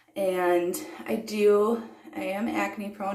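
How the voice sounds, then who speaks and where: Through noticeable background noise and audible room echo, a woman talks at a medium pitch. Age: 30s. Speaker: beauty vlogger. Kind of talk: get-ready-with-me tutorial. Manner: relaxed, casual with many fillers.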